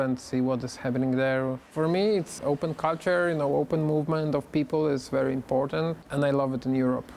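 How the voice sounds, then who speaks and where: A fairly quick voice in a Polish accent, with noticeable background noise. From Poland. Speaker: interviewee. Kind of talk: interview.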